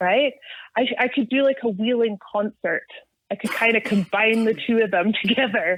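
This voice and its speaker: In a Scottish accent, a woman speaks at a moderate pace and fairly high pitch, with ordinary pitch variation and very even loudness. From Scotland. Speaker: off-road enthusiast. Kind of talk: casual chat.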